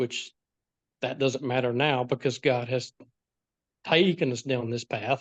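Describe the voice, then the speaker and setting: A man with an American accent at a medium pitch, fairly slow and fairly even in intonation, with long, frequent pauses, in a dry, close sound with no echo. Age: 60s. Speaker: foster parent. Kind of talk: interview.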